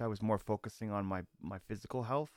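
A man talks at a fairly quick pace in a medium pitch. The sound is dry and close, with no echo. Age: 40s. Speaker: solo podcast host, recovering alcoholic. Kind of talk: casual solo monologue. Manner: rambling, halting with fillers.

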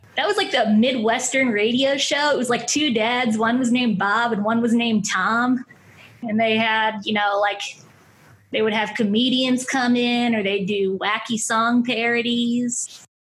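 There is audible room echo as a woman speaks at a fairly slow pace with a fairly high pitch. Her loudness stays very even and her intonation fairly even. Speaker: writer and comedian. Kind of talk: casual chat.

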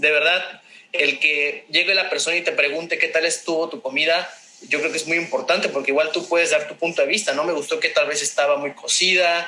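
A man with a high pitch and fairly even intonation at a fairly quick pace, with noticeable background noise. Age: 20s. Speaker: food business owner. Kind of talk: casual interview. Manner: halting.

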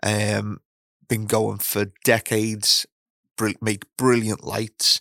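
A man speaks with a British accent at a fairly low pitch. The sound is dry and close, with no echo. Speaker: podcast host. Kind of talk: casual chat. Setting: studio. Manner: polished presenter style.

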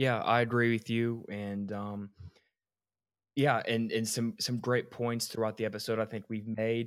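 In an American accent, a man talks at a fairly slow pace and medium pitch with monotone, flat intonation, on a very clean recording with a silent background. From Georgia, US. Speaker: sports podcast host. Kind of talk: casual sports chat.

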